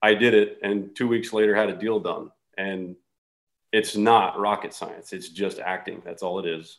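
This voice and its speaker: A normal speaking voice from a man of fairly low pitch, moderate pace, fairly even intonation and big loudness swings. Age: 40s. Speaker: real estate investor. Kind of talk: casual chat.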